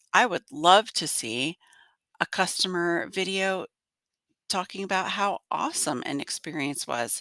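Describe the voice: In a dry, close sound with no echo, a woman speaks at a fairly slow pace with lively intonation and a nasal, gruff voice of bright, sharp tone. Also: fairly low pitch for a woman.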